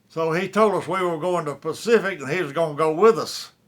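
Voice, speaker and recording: In a Southern US accent, a man speaks with a high pitch. His pace is moderate and his pitch variation ordinary. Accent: Southern American. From South Carolina upstate. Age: 80s+. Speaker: war veteran. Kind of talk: interview answer.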